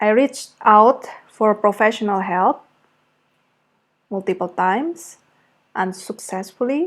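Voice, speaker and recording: The speaker has an Indonesian accent. The recording is very clean, with a silent background. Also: woman. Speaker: creative arts therapist. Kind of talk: personal testimony. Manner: reflective, with hesitations.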